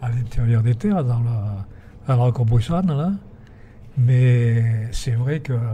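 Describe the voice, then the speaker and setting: Pausing long and often, a man with a Provençal accent speaks at a very slow pace amid noticeable background noise. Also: medium pitch for a man, ordinary pitch variation. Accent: Provençal southern French. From Provence. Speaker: retired teacher and windmill restorer. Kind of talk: interview. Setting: inside a windmill. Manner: calm, sing-song.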